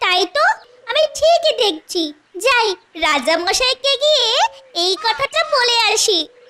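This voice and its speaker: In a cartoonish character voice with an extremely high pitch, someone talks in a playful tone at a fairly slow pace. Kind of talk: cartoon comic voice. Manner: playful, teasing, sing-song.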